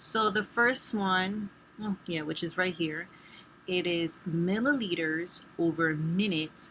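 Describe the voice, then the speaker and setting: A woman's very slow speech with a Spanish accent, medium pitch and ordinary pitch variation. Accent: Spanish accent, some mispronunciations. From Spanish-speaking background. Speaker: nursing student. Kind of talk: tutorial. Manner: casual, with fillers.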